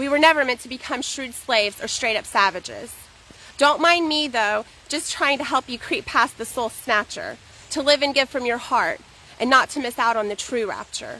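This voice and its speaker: A woman projects a raised voice at a high pitch with ordinary pitch variation. Noticeable background noise sits behind her. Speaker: poet. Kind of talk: poetry reading. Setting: outdoors. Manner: fast.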